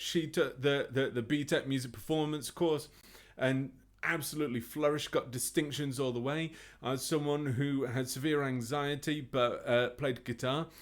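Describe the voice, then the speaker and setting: Over a very clean recording with a silent background, a man talks at a moderate pace. His pitch is fairly high, his intonation fairly even. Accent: English. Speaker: music teacher. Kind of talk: interview.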